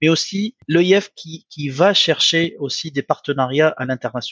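A man speaks at a fairly high pitch. His pitch varies in an ordinary way. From Tunisia, Sfax. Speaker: business executive and school founder. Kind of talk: interview. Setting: video call. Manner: halting.

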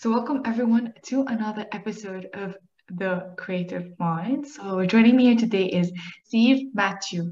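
Fairly high for a woman, her voice is an unremarkable speaking voice, moving at a moderate pace with ordinary pitch variation. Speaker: podcast host. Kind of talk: interview conversation.

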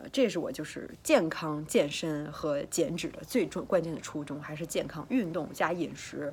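A woman's very deep, low voice, lively in intonation, at a moderate pace with hardly any pauses. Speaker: fitness coach and vlogger. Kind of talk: casual vlog monologue. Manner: chatty, hesitant with fillers and repetitions.

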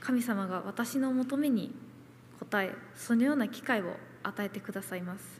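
At a moderate pace, a woman speaks in a fairly high, somewhat breathy voice with big swings in loudness. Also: ordinary pitch variation. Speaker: nurse. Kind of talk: testimony.

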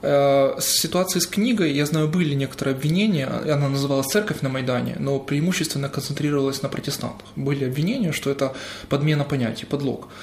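A man's very fast speech at a fairly high pitch, with ordinary pitch variation, very even loudness and noticeable background noise. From Crimea (Sevastopol). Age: 30s. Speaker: journalist and theologian. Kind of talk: interview.

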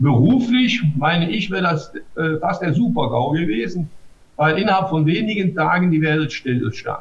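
A man with a high pitch speaks at a moderate pace, his loudness very even throughout. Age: 60s. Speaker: mayor. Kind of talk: interview. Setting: video call. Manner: hesitant, many filler sounds.

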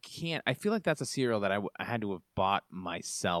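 On a very clean recording with a silent background, a man with a fairly low pitch and a bright, sharp tone speaks at a moderate pace, the sound dry and close with no echo. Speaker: podcast host. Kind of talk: casual interview chat.

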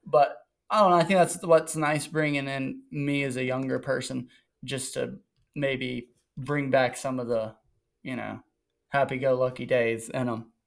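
Medium-pitched male speech at a fairly slow pace, ordinary pitch variation, long and frequent pauses, very clean recording, silent background. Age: 20s. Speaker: motocross and 110 rider. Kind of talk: casual chat.

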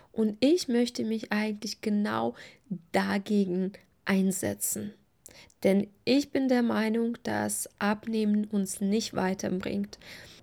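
Speaking very slowly with a non-native accent, a woman uses a medium pitch, fairly even intonation and a dark, mellow, warm tone. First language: not German (speaking German). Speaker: eating and body-image coach, podcast host. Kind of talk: solo podcast monologue. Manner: warm, personal.

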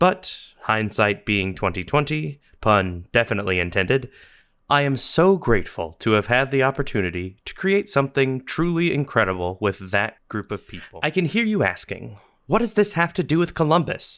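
On a very clean recording with a silent background, a man of medium pitch talks at a moderate pace with very wide pitch swings. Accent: American. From US South. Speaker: podcast host. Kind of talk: scripted narration.

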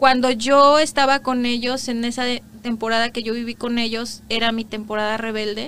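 Barely pausing, a woman with a fairly high pitch keeps a moderate pace. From Mexico, Guerrero and Morelos. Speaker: immigrant entrepreneur, former lawyer. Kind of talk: interview. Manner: animated.

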